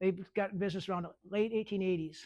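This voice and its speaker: With an American accent, a man talks at a very fast pace in a high pitch and an animated tone. The recording is very clean with a silent background. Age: 60s. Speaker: privy digger and bottle collector. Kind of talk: public talk with audience questions. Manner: animated storytelling.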